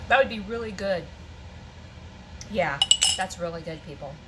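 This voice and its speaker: A woman's very fast, animated speech over noticeable background noise. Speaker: homesteading canning vlogger. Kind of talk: cooking tutorial.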